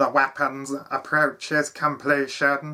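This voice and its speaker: In a very clean recording with a silent background, a man uses a raised, projected put-on character voice with a fairly high pitch at a fairly slow pace. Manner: monotone, drawn-out.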